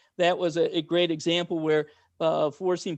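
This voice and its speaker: A man's high-pitched voice at a moderate pace, dry and close with no echo. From US Midwest, Cincinnati Ohio. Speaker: nonprofit CEO. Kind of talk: panel discussion. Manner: halting, many repetitions.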